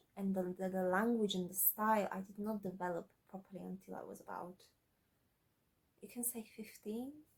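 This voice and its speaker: A somewhat breathy woman's voice at a medium pitch. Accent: slight non-native. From Slovakia. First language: Slovak. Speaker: aspiring author, YouTuber. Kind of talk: casual vlog. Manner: halting, many fillers and repeats.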